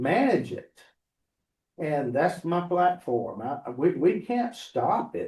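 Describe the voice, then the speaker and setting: A man with a high pitch talks very slowly, his pitch swinging very widely. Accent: American. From Georgia, USA. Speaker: political candidate. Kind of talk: campaign speech to local meeting.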